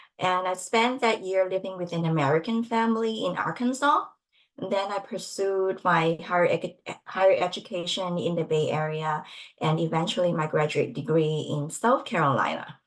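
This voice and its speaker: A woman with a Cantonese accent at medium pitch, moderate in pace, her intonation lively. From Hong Kong. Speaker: nonprofit staff panelist. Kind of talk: webinar panel introduction.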